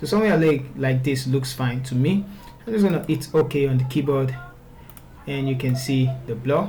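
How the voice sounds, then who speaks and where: Noticeable background noise and audible room echo fill the recording. A man with a fairly high pitch speaks at a moderate pace. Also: ordinary pitch variation. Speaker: photo retouching tutor. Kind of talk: software tutorial. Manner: stuttering at times; casual, conversational.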